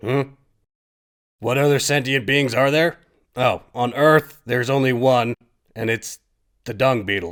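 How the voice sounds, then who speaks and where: In a cartoonish character voice, a man at medium pitch speaks at a moderate pace with long, frequent pauses, on a very clean recording with a silent background. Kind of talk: comedic puppet monologue. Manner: casual, deadpan.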